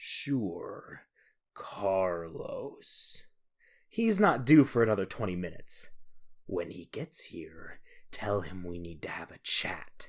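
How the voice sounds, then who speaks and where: Whispering and growling in a put-on character voice, the speaker moves at a fairly slow pace with big swings in loudness. The recording is very clean, with a silent background. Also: man. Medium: read story. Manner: half whispered, half growled.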